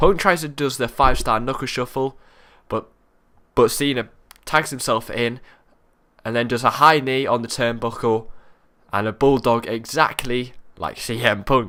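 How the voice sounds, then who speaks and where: A man's bright, sharp tone with ordinary pitch variation and long, frequent pauses, on a very clean recording with a silent background. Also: medium pitch for a man. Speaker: wrestling show reviewer. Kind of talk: solo video review. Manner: casual, halting; fast.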